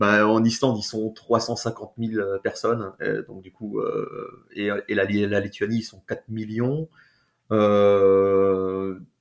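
In a monotone, flat intonation, a man speaks very slowly at a fairly low pitch with big swings in loudness. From France. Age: 40s. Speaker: expat father. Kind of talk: interview testimony.

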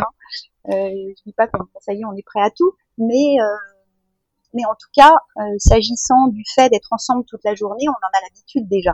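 In an ordinary speaking voice, the speaker moves at a moderate pace with ordinary pitch variation. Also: woman. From France. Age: 50s. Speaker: mother planning family life at sea. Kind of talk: interview testimony. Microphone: poor microphone quality.

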